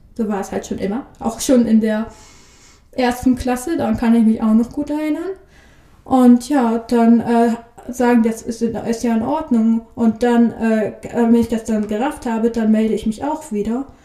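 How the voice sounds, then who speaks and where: A woman talks with a fairly high pitch and fairly even intonation. Noticeable background noise sits behind her voice. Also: moderate pace. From northern Germany, Bremerhaven. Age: 20s. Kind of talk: interview. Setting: studio.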